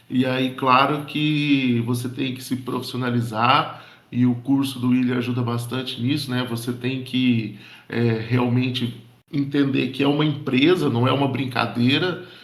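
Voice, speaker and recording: There is audible room echo as a man talks at a fairly slow pace. His pitch is medium and his intonation is monotone and flat. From interior of São Paulo state, Brazil. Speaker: board game shop owner and educator. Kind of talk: casual group chat. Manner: hesitant, many fillers and repetitions.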